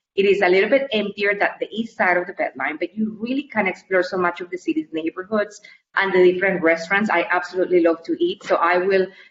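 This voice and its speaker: Fairly quick speech from a woman with a Colombian accent. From Colombia (Cali). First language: Spanish. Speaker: university staff member. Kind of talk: interview.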